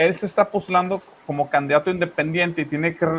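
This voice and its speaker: A man talks at a fairly quick pace. He has a strong Monterrey accent. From northern Mexico, Monterrey. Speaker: news commentary host. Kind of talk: political commentary chat. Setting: live stream.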